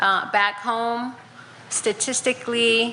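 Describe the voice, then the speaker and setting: Against noticeable background noise and audible room echo, a woman speaks. Her pace is very slow and her intonation is monotone and flat. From Navajo Nation, Four Corners area. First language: Navajo. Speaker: county commissioner. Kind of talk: conference presentation. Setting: conference session with audience.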